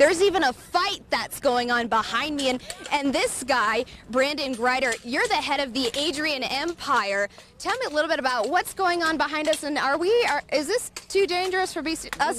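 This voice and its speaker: A woman with a high voice speaks at a moderate pace, the sound dry with no echo and noticeable background noise underneath. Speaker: TV news reporter. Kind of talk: live news report. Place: open country. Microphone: handheld.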